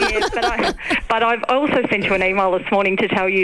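The talking comes at a fairly quick clip, with noticeable noise in the background. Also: woman. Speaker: radio caller. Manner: confident, chatty, playfully argumentative.

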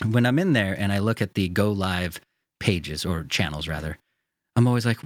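A man's plain, everyday voice at a fairly low pitch with an American accent, a fairly quick pace and a dry, close sound with no echo. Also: very clean recording, silent background. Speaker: sim racing podcast host. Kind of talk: casual chat. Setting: studio.

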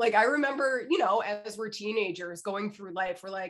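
This woman talks at a moderate pace with a medium pitch. Her pitch varies in an ordinary way. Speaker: podcast co-host, business strategist. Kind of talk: casual chat. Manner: stumbling over words.

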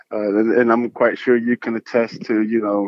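A normal speaking voice at a moderate pace. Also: man. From North Carolina, Fayetteville. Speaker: Army veteran and real estate investor. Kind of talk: casual interview.

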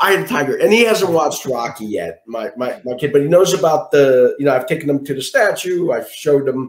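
Speaking in a Philadelphia accent, a man has a fairly high pitch and lively intonation. His pace is fairly quick. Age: 40s. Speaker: guest sharing survival story. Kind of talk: interview.

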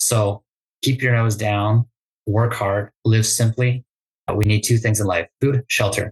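A man speaks at a moderate pace in a medium pitch, his somewhat breathy voice flat and monotone, recorded dry and close with no echo. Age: 30s. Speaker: real estate investor. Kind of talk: interview.

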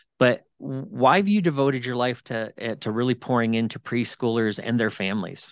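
A man talks at a moderate pace with lively intonation and medium pitch. He has a plain, everyday voice, and the sound is dry and close with no echo. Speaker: podcast host. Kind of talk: casual interview conversation.

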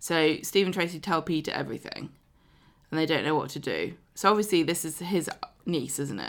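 She has a very deep, low pitch with vocal fry and ordinary pitch variation. The woman speaks at a fairly quick pace with a southern English accent. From southern England. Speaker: podcast host. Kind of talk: casual chat.

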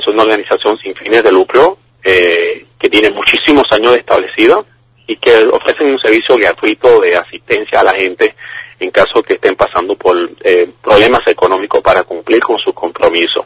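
Moderate-paced male speech, the sound dry and close without any echo. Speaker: finance professor. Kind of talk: interview answers. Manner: halting, repeats words.

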